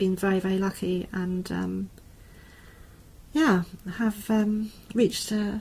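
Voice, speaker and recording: A somewhat breathy voice in a southern English accent, at a fairly slow pace with fairly even intonation, in a very clean recording with a silent background. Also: woman. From southern England. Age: 60s. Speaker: university lecturer. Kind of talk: interview conversation.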